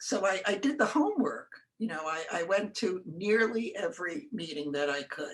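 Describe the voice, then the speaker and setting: Speaking at a moderate pace and medium pitch, a woman makes very wide pitch swings. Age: 80s+. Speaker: retiring town board member. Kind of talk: interview reflection. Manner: halting, repeats words.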